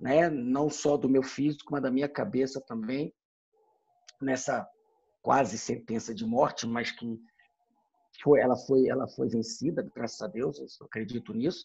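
This man talks at a fairly slow pace with long, frequent pauses. His pitch is medium, and his pitch variation is ordinary. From Brasília, Brazil. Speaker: military officer. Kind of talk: casual chat.

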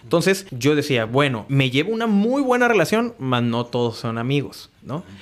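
A man's fairly high voice with very wide pitch swings at a moderate pace, over noticeable background noise. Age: 30s. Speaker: business owner. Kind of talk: casual interview.

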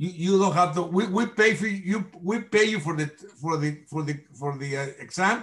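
In a Mexican accent, a man speaks at a moderate pace with a high pitch and ordinary pitch variation. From Mexico. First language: Spanish. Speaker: nonprofit chamber president. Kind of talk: interview. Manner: halting, hesitant, repeats words.

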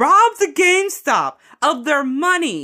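In a Chicago accent, a woman speaks with a bright, sharp tone on a very clean recording with a silent background. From US Midwest, Chicago. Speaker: gaming podcast co-host. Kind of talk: casual chat.

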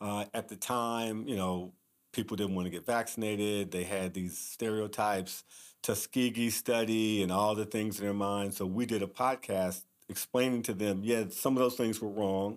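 A man with a plain, everyday voice and an American accent speaks at a fairly low pitch and moderate pace with fairly even intonation, on a very clean recording with a silent background. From Kansas City, US Midwest. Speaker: physician. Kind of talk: interview.

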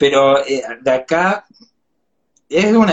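A man talks in a Chilean accent with ordinary pitch variation. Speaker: cultural promoter. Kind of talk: casual chat.

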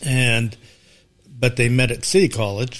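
A man speaks with an American accent at a medium pitch. His pace is fairly slow, with ordinary pitch variation. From Sacramento, California. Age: 60s. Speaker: parishioner. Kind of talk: casual interview.

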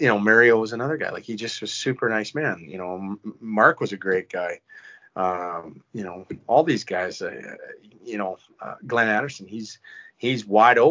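With a Canadian Prairies accent, a man speaks at a moderate pace in a medium pitch with ordinary pitch variation. His loudness swings widely. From Saskatchewan, Canada. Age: 40s. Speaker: retired hockey player. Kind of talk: casual chat. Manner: halting.

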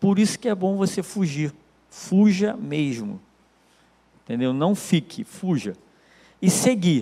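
At a very slow pace, a man speaks with a high pitch and lively intonation. Long, frequent pauses break up his speech. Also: very clean recording, silent background. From Brazil, Nilópolis, Baixada Fluminense (Rio de Janeiro). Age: 40s. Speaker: lay preacher giving testimony. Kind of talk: church talk / testimony. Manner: casual, hesitant with fillers.

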